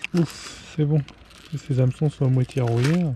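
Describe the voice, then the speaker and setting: Over noticeable background noise, a man with a fairly high pitch and ordinary pitch variation comes through dry and close, with no echo. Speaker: fishing vlogger. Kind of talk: casual vlog narration. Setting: outdoors on the seashore. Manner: casual, hesitant with fillers; soft-spoken.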